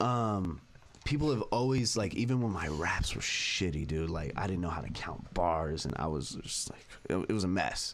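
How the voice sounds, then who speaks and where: Over noticeable background noise and audible room echo, a man talks in a very deep, low pitch. His pace is moderate and his intonation lively. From San Fernando Valley, California. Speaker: rapper. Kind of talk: casual interview chat. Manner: halting, filler-heavy.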